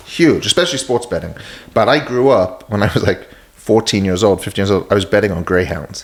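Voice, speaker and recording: The speaker talks at a fairly quick pace with lively intonation. Noticeable background noise can be heard. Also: man, fairly low pitch for a man. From London, England. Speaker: casino executive. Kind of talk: podcast interview. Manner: hesitant fillers.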